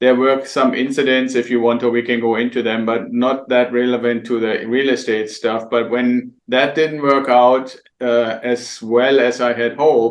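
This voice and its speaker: This man has a German accent and a monotone, flat intonation. He speaks at a moderate pace. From Germany. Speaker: real estate investor and mentor. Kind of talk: interview. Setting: podcast interview.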